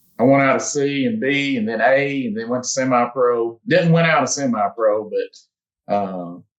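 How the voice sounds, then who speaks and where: With hardly any pauses, a man with an American accent speaks at a moderate pace and medium pitch, his intonation lively. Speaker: competitive archer. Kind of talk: casual interview. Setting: podcast. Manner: halting, repeats words.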